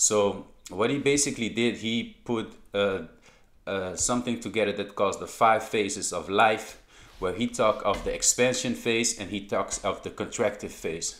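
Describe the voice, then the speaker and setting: A man at a moderate pace, with a Dutch accent. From Netherlands. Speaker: crypto YouTuber. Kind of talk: video commentary. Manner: halting.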